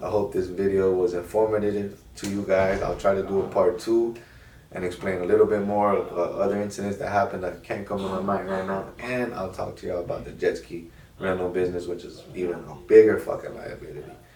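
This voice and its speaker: A man at a fairly quick pace amid audible room echo and noticeable background noise. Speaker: car rental business owner, YouTuber. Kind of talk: casual advice monologue. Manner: fast.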